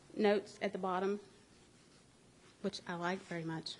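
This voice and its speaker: This woman speaks at a medium pitch with fairly even intonation. Her tone is dark and mellow. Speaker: librarian. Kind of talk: public announcement at council meeting.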